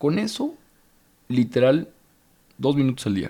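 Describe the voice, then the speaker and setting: In a medium pitch, a man talks with ordinary rises and falls. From Mexico, Torreón. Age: 30s. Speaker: motivational speaker and author. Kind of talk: casual chat.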